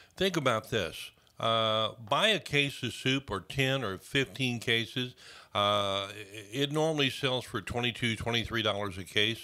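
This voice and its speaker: He talks fairly slowly, his pitch moving in an ordinary way. The man's voice is an unremarkable speaking voice, pitched in the medium range. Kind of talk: radio interview answer. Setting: radio studio.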